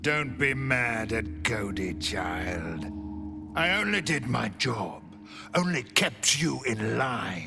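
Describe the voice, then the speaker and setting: Over clear music in the background, a man uses a put-on character voice at a medium pitch and a very slow pace. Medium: machinima. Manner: speaks of himself in third person.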